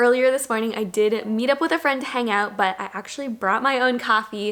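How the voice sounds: A woman speaks with a fairly high pitch and a fairly bright tone. Her pitch varies in an ordinary way over faint background noise.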